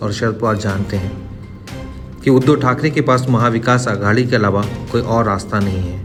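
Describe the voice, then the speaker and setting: Male speech at a moderate speed, backed by music. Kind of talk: news commentary narration.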